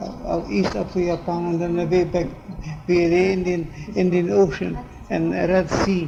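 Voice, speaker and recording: A man with a high pitch and ordinary pitch variation, at a fairly slow pace with long, frequent pauses, over noticeable background noise. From North Caucasus, Russia. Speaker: ordained preacher. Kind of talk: interview answer.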